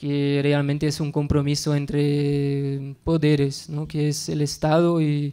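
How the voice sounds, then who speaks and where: In a non-native accent, the speaker talks very slowly in a flat, monotone way with a dark, mellow tone against a quiet background. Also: man. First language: not Spanish (speaking Spanish). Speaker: researcher and conference speaker; conference speaker. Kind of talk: conference talk. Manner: halting. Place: classroom. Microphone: podium.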